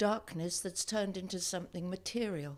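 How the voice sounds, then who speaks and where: An ordinary speaking voice from a woman, fairly low in pitch and at a moderate pace, in a very clean recording with a silent background. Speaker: actor. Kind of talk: dramatic reading of diary. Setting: live event. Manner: sombre.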